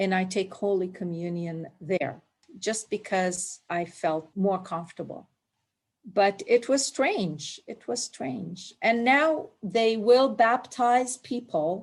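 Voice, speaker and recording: A woman's medium-pitched voice in a Palestinian accent, very slow and with lively intonation. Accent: Palestinian Arab. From Palestine, Jerusalem. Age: 60s. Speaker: immigrant interviewee. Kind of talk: oral history interview.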